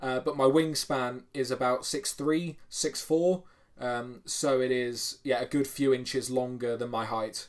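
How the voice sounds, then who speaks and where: With a British accent, a man speaks at a fairly slow pace in a medium pitch with fairly even intonation. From United Kingdom. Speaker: strongman YouTuber. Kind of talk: livestream chat reading comments. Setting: home bedroom livestream. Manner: casual, filler-heavy.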